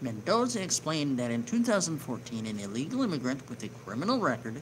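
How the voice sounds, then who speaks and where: In a room with audible echo, a man speaks quietly at a medium pitch with very wide pitch swings. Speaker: online news show host. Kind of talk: reading news article with commentary. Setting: home near neighbors. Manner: lowered voice, quieter; hesitant, filler words.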